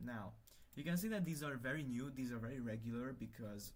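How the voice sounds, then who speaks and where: A man speaks at a medium pitch. There is audible room echo around his voice. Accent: Hungarian. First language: Hungarian. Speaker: livestreamer, language hobbyist. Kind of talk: casual livestream chat while working. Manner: halting, many fillers and restarts.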